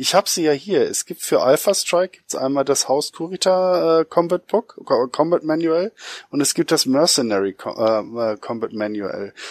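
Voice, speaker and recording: On a very clean recording with a silent background and a dry, close sound with no echo, a man with an ordinary speaking voice talks at a moderate pace, fairly high in pitch, with lively intonation. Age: 40s. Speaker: podcast co-host. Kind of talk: casual chat.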